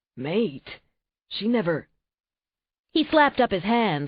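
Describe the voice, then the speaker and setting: This put-on character voice is raspy and fairly high in pitch. It swings very widely in pitch at a fairly slow pace. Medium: read story.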